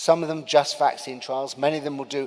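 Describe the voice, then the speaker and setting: A man with a British accent comes through in a very clean recording with a silent background. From UK. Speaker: vaccine researcher speaking at a medical summit. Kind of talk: conference talk. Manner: hesitant, many fillers.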